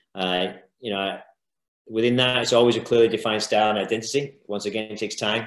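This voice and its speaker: A man talks at a very fast pace and medium pitch, his intonation monotone and flat. The background is quiet, with audible room echo. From UK. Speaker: youth football coach. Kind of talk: lecture. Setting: video call. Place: home room. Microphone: video call.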